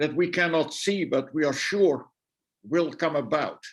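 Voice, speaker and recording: A man speaks at a fairly high pitch with a Dutch accent. His pitch varies in an ordinary way. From Netherlands. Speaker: guest lecturer, theologian. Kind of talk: answer in an online discussion. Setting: video call. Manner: halting, many repetitions.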